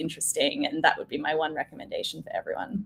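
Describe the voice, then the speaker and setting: A woman talks at a very fast pace with an Australian accent. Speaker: change management director. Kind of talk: casual interview chat.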